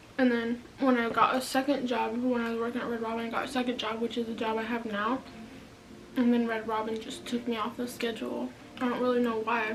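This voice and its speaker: Noticeable background noise sits behind a woman speaking at a fairly quick pace. Her pitch is fairly high and her intonation monotone and flat. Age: young. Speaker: YouTuber. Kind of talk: casual talk to camera.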